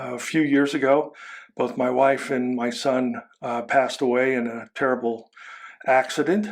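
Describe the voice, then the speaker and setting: A man with a normal speaking voice and an American accent talks at a moderate pace. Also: medium pitch for a man. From United States. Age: 60s. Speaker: army veteran, podcast co-host. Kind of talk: casual podcast introduction.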